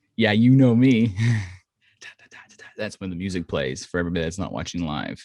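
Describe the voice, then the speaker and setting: A man's very deep, low voice, animated in tone and lively in intonation, at a fairly quick pace broken by long, frequent pauses. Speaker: podcast co-host. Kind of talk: casual chat. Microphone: good microphone.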